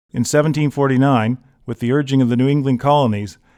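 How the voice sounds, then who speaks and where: In a very clean recording with a silent background, a man speaks with an ordinary speaking voice at a medium pitch. His pace is fairly quick and his intonation fairly even. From Halifax, Nova Scotia, Canada. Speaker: historian and tour guide narrator. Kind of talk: documentary travel narration.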